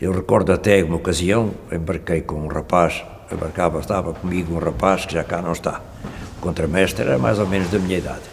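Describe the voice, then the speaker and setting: Noticeable noise sits in the background. The pace is fairly quick. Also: man, very deep, low pitch for a man, ordinary pitch variation. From Portugal, Gafanha da Nazaré (Aveiro). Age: 80s+. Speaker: retired cod fisherman. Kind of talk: oral history testimony. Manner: halting.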